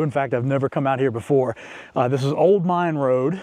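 Dry, echo-free sound from a man, his pitch varying in an ordinary way. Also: quiet background. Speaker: overland travel vlogger. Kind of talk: casual vlog chat. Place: open country. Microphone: lapel.

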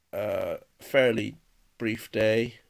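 The setting is quiet. The voice belongs to a man. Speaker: vlogger. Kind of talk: casual vlog chat. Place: home room. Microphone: phone near.

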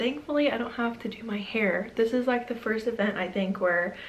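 In a room with audible echo, a woman speaks at a fairly quick pace with a fairly high pitch and ordinary pitch variation.

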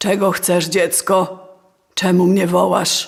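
At a fairly slow pace, a woman of medium pitch performs a raspy, put-on character voice. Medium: read story. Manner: grave, measured.

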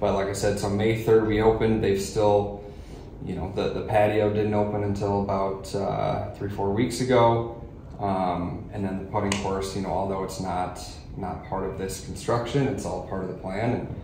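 The voice has monotone, flat intonation. Light background noise and audible room echo are present. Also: man, fairly low pitch for a man, moderate pace. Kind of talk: interview answer. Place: meeting room.

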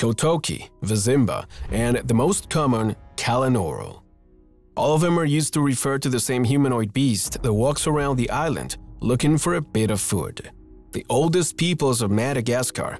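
With music in the background, a man talks at a moderate pace with very even loudness and ordinary pitch variation, in a dry sound with no echo. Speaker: narrator. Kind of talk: documentary-style narration.

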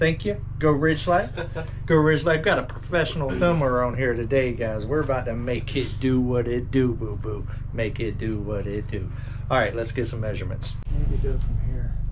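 A man talks at a moderate speed and ordinary pitch variation, with noticeable background noise present. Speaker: homesteading vlogger. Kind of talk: casual DIY vlog explanation. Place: home room. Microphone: camera far.

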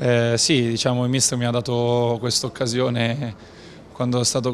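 Moderate pace from a man, light noise in the background. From northern Italy, Novara (Piedmont); Piedmont, Italy. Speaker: professional football goalkeeper. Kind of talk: post-match interview. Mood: calm, measured. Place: hall. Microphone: handheld.

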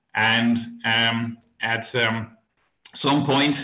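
With a Dutch accent, a man speaks at medium pitch in a bright, sharp tone with fairly even intonation. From Netherlands. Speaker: beer historian. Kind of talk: interview. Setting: remote call.

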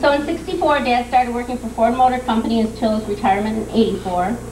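Noticeable background noise behind a woman with a fairly high pitch. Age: 50s. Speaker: daughter giving birthday tribute. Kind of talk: tribute speech. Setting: party with audience, microphone. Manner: halting. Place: hall. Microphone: old recording.

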